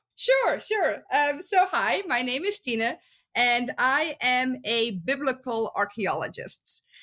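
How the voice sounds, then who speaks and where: A woman with a Flemish accent speaks in a raised, projected voice, high in pitch with a bright, sharp tone. She goes at a very slow pace with very wide pitch swings. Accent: Dutch (Flemish). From Belgium. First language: Dutch. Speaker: biblical archaeologist. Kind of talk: podcast interview. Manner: many filler words (um, uh).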